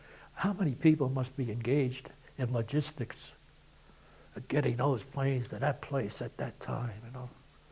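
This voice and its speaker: A somewhat breathy man with a dark, mellow tone speaks at a moderate pace and medium pitch, with ordinary pitch variation. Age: 80s+. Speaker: war veteran. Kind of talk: oral history interview. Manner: conversational, with fillers.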